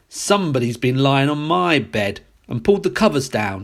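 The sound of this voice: Putting on a growling character voice, a man speaks at a moderate pace and medium pitch.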